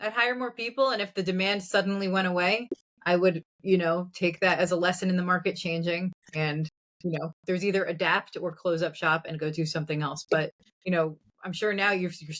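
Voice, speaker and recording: This woman has a plain, everyday voice at a medium pitch. She talks at a fairly quick pace with ordinary pitch variation. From New Jersey. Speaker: entrepreneur. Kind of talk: casual chat.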